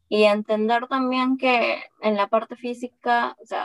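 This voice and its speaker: Recorded dry and close with no echo, a woman speaks at a fairly slow pace with fairly even intonation and a fairly high pitch. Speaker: entrepreneur and engineer, podcaster. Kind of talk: interview.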